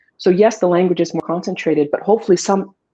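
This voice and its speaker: A woman's dark, mellow tone at a fairly low pitch, in a French accent. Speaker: author. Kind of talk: interview.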